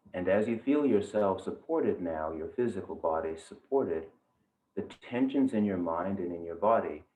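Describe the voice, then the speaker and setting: An ordinary speaking voice from a man carries lively intonation at a fairly low pitch. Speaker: yoga teacher, meditation guide. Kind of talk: guided meditation. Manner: slow, calm, soft-spoken.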